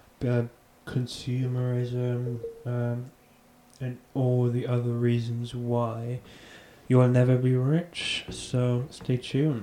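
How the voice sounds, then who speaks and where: Noticeable background noise accompanies a man with a medium pitch. He speaks at a very slow pace with monotone, flat intonation. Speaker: podcast host. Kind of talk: casual podcast monologue. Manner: casual, filler-heavy with repetitions.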